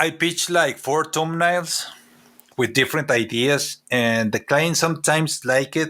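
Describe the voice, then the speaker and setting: With a Mexican accent, a man speaks at a fairly slow pace and fairly high pitch, his loudness very even and his pitch varying in an ordinary way. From Mexico, Chihuahua. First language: Spanish. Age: 40s. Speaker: comic artist and character designer. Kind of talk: interview. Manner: halting.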